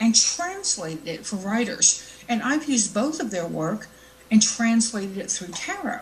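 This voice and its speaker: Lively intonation and a Southern US accent carry the speech at a moderate pace. Noticeable background noise and audible room echo fill the recording. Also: woman. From US South. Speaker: internet show host, tarot reader and fiction author. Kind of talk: casual live show monologue. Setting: live online show with chat room.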